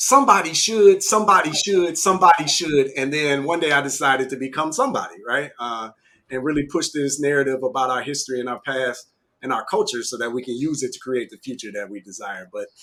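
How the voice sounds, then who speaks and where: Big swings in loudness mark this bright, sharp voice, which moves at a fairly quick pace with lively intonation. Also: man, fairly high pitch for a man. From Michigan, near Detroit. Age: 40s. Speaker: business owner. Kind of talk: interview.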